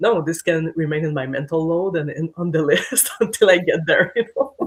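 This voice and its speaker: Someone with a French accent talks at a moderate pace over noticeable background noise. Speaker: podcast guest. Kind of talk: casual chat.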